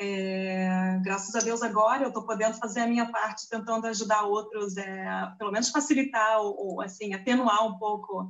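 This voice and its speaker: With a strong Rio de Janeiro accent, a woman speaks at a moderate pace with fairly even intonation. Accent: strong carioca Brazilian Portuguese. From Brazil, Rio de Janeiro. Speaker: diploma validation consultant. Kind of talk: interview on a live stream. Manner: hesitant, many fillers.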